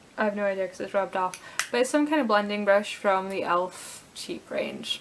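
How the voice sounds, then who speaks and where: Against noticeable background noise, a woman talks at a fairly quick pace and a medium pitch, with big swings in loudness. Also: ordinary pitch variation. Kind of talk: casual talk to camera, makeup tutorial.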